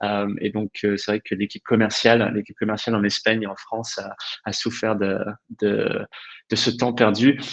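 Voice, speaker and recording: At a moderate pace, the monotone, flat intonation sits in a dry, close sound with no echo. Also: man, fairly low pitch for a man. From England. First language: English (speaking French). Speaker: HR director. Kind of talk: webinar discussion. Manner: hesitant, many fillers.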